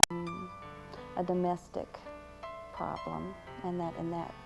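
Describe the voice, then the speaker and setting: There is music in the background as a woman speaks at a moderate pace. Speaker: attack victim giving testimonial. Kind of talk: interview answer, recounting story. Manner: hesitant, halting.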